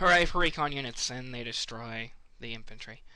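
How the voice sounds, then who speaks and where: Bright and sharp in tone, a man's voice comes through on a very clean recording with a silent background. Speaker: gameplay commentator. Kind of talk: casual gameplay commentary.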